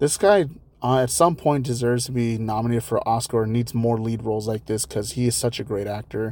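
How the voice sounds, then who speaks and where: A man talks at a fairly quick pace in a medium pitch, his tone dark and mellow and his intonation fairly even. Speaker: solo podcast host, movie commentator. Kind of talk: casual solo podcast talk. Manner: casual, chatty with laughs.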